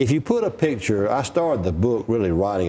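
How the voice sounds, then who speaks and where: With an Alabama accent, a man talks at a fairly quick pace in a fairly low pitch, his tone dark and mellow and his intonation lively. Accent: Southern US (Alabama). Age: 60s. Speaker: political historian and author. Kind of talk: interview. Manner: storytelling, conversational.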